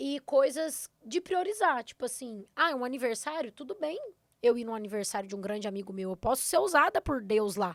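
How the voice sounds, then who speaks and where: In a Minas Gerais accent, a woman talks with an animated tone, a high pitch, very wide pitch swings and a fairly quick pace. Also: dry, close sound with no echo. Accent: Minas Gerais (mineiro). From southern Minas Gerais, Brazil. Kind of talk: podcast interview.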